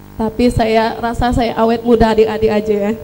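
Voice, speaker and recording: A woman speaks in a monotone, flat intonation. Noticeable background noise runs behind her. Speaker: book reviewer at a launch. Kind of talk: public speech at book launch.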